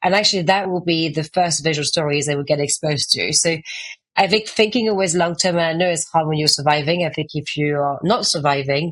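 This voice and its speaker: In a strong French accent, a woman speaks at a fairly quick pace. Her pitch varies in an ordinary way. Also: fairly low pitch for a woman. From France. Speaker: author and art agency founder. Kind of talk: podcast interview. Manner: fast.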